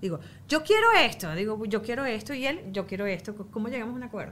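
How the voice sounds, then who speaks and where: A woman's very fast speech at medium pitch, in a Venezuelan accent, over noticeable background noise. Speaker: mother. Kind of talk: casual chat.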